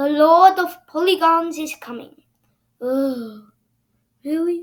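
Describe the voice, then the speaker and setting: Putting on a character voice, a woman speaks at an extremely high pitch and a fairly slow pace, her pitch varying in an ordinary way. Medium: read story.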